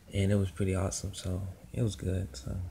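A man with a fairly low pitch and a dark, mellow, somewhat breathy tone speaks at a moderate pace in monotone, flat intonation over light background noise. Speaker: anime fan reviewer. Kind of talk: casual vlog chat. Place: home room. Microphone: phone near.

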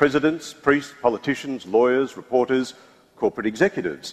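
A fairly quick-paced male speaker. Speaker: panel moderator. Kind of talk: event introduction and reading aloud. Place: stage.

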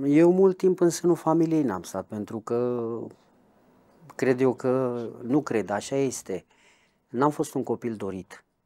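A man with a dark, mellow tone and lively intonation speaks at a very slow pace with long, frequent pauses. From Romania, Brașov; Romania. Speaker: ex-convict; interviewee. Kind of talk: interview testimony; interview answer. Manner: halting. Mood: reflective storytelling about childhood. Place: home room. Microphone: lapel.

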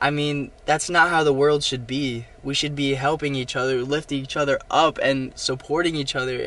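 A man's bright, sharp tone comes through at a moderate pace with a dry sound and no echo. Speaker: vlogger. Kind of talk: casual vlog chat. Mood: earnest, reflective. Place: car. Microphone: phone near.

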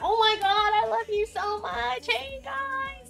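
A put-on character voice, extremely high in pitch and fairly slow, over clear background noise. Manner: gushing, affectionate.

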